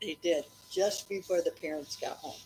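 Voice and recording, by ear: With a slightly husky edge and a slightly mellow tone, a woman speaks at a fairly slow pace.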